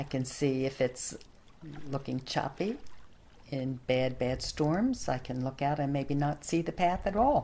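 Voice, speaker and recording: At a fairly slow pace, a woman with a very deep, low pitch speaks in a dark, mellow tone with ordinary pitch variation. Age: 70s. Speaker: environmental activist, community group founder. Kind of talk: interview answer.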